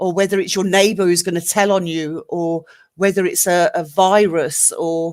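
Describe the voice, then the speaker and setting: A plain, everyday voice speaks at a fairly slow pace. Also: woman. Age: 50s. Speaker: live stream panelist. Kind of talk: casual discussion.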